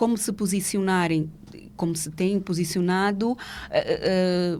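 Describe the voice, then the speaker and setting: A woman with a plain, everyday voice and fairly even intonation, on a very clean recording with a silent background. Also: medium pitch for a woman, fairly slow pace. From Angola. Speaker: legal professional. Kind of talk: podcast interview.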